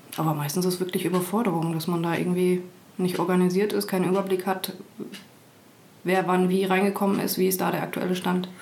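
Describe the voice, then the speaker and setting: A woman at a medium pitch talks very fast in a monotone, flat intonation, with very even loudness and long, frequent pauses. The recording has audible room echo and noticeable background noise. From East Germany. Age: 30s. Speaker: HR manager. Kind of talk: interview.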